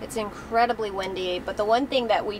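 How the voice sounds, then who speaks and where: Fairly quick, fairly even speech amid noticeable background noise. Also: woman. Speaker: travel vlogger. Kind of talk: casual vlog chat. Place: car.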